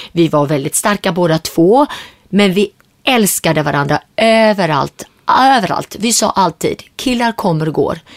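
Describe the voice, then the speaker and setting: This woman has a plain, everyday voice with lively intonation and a moderate pace. The sound is dry and close, with no echo. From Sweden, Gothenburg; Syriac family from Turkey. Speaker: entrepreneur. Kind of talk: interview.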